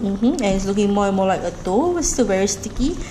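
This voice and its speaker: A woman with a Singaporean accent speaks with ordinary pitch variation. Noticeable background noise and audible room echo surround her. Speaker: cooking vlogger. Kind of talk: cooking tutorial. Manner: casual, rambling with fillers.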